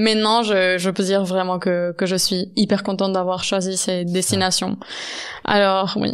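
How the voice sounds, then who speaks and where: On a very clean recording with a silent background, a woman at medium pitch speaks at a fairly slow pace with very even loudness and monotone, flat intonation. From Spain, Valencian region. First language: Catalan (speaking French). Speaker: podcast host. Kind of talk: casual interview chat. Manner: halting.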